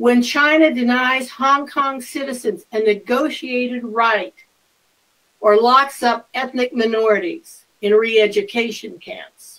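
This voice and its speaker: A woman's high-pitched voice at a fairly slow pace, with ordinary pitch variation. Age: 70s. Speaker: politician. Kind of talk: speech. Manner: formal.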